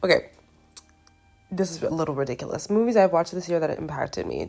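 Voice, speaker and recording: Over music in the background, a woman speaks in an animated tone. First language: not English. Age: 20s. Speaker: movie vlogger. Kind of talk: casual vlog chat. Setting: home recording on camera. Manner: casual, halting.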